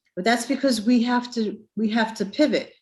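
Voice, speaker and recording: In a New York accent, a woman talks at a fairly slow pace in a very clean recording with a silent background. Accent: New York accent, noticeable. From Brooklyn, New York. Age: 50s. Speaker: transit agency representative. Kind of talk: career presentation.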